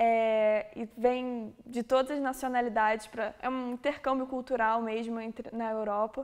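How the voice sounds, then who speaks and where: A fairly high female voice in a Rio de Janeiro accent, monotone and flat, at a fairly slow pace. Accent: Carioca Brazilian Portuguese. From Brazil, Rio de Janeiro. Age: 20s. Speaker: exchange student. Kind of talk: testimonial. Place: classroom.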